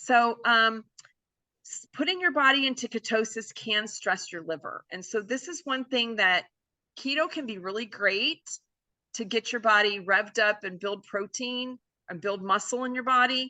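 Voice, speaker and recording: A woman with a fairly high pitch speaks with lively intonation. Her loudness swings widely. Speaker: chiropractor giving health talk. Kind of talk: online presentation with Q&A. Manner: fast.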